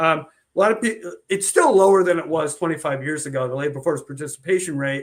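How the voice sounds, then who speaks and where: His pitch fairly high and its variation ordinary, a man talks in a plain, everyday voice. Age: 60s. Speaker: economist. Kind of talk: casual chat.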